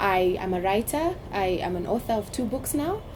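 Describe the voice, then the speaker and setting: This woman's lively intonation comes through over noticeable background noise. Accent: Kenyan coastal. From Kenya, Mombasa (coast). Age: 30s. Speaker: politician. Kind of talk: interview conversation.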